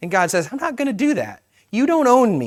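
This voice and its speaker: In a very clean recording with a silent background, a man's pitch swings very widely. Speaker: pastor. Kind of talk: sermon. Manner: casual, conversational.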